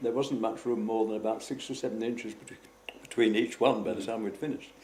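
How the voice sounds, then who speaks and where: A man's medium-pitched voice, with ordinary pitch variation, competes with noticeable background noise. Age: 80s+. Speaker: war veteran. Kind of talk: interview answer.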